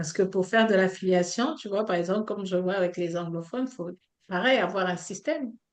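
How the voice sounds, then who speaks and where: At a fairly quick pace, a woman speaks with a medium pitch and ordinary pitch variation. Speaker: online coach and trainer. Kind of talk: online training session.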